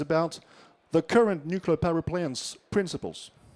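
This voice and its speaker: This man has a high-pitched, dark, mellow voice with an American accent and a moderate pace. The recording is very clean with a silent background and a dry, close sound with no echo. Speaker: nuclear engineer. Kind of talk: conference talk. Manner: halting.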